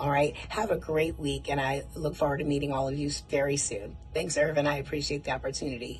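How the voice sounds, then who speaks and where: A woman's animated, fairly quick delivery with hardly any pauses, audible room echo and noticeable background noise. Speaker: martial arts program representative. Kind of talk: recorded video message. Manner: fast.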